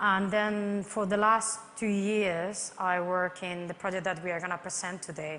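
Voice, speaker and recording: Audible room echo surrounds a woman's voice. Her intonation is monotone and flat, with hardly any pauses. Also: medium pitch for a woman, moderate pace. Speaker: construction project manager. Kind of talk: conference presentation.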